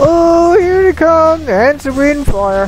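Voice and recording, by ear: The voice is a put-on character voice pitched high. Clear background noise runs behind it. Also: fairly slow pace.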